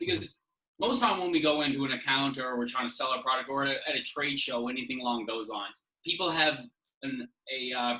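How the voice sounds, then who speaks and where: The speaker has a Newfoundland accent, a fairly quick pace and ordinary pitch variation. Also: man, medium pitch for a man. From Newfoundland, St. John's. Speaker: whisky brand representative. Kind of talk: casual podcast chat. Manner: fast; animated.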